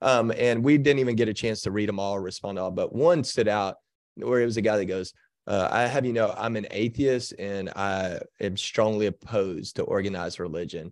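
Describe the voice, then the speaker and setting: Speaking fairly quickly with an American accent, a man uses a normal speaking voice, fairly low in pitch with ordinary pitch variation, over a quiet background. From Texas. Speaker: pastor. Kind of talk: interview.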